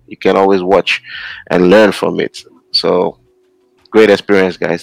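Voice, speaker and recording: Speaking with a Nigerian accent at a fairly slow pace, the voice stays monotone and flat, with long, frequent pauses. The sound is dry and close, with no echo. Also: man. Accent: Nigerian (Yoruba) English. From Nigeria, Osun State. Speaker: podcast co-host. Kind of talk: panel discussion.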